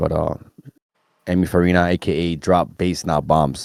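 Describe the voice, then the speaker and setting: A man's voice in a monotone, flat intonation. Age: 30s. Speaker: electronic music artist. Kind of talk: interview. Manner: casual, filler-heavy with repetitions.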